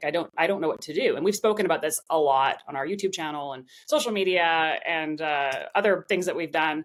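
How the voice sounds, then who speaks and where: A woman talking at a fairly quick pace. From Vancouver, western Canada. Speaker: opera singer. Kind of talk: interview. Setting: podcast interview. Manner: animated.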